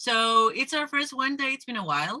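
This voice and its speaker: In a Spanish accent, a woman speaks at a moderate pace with a high-pitched, bright, sharp voice. She raises and projects her voice. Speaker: discussion group facilitator. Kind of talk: casual group discussion. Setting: video call.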